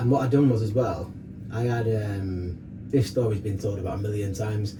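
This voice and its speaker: A man with a medium-pitched voice talks at a fairly quick pace with fairly even intonation, over noticeable background noise and audible room echo. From northern England, Rochdale, Greater Manchester. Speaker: fitness coach and DJ. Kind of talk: casual chat, personal story. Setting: sauna. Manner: fast.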